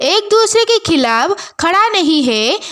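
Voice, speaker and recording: Her pitch swings very widely as this woman speaks. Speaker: manhwa explainer. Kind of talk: story recap narration.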